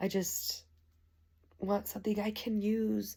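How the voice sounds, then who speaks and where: A woman talks quietly while noticeable background noise carries on behind her. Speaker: home product reviewer. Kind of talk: casual product review.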